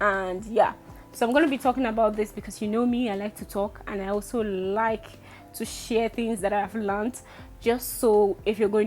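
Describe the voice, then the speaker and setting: Moderate-paced speech from a woman with a fairly high pitch, with music in the background. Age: 20s. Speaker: vlogger. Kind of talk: casual vlog talk. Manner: speaking louder.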